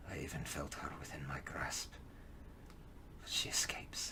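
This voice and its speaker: A man puts on a character voice that sounds raspy. He talks at a fairly slow pace. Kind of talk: audio drama monologue for tabletop game. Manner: slow, brooding, solemn.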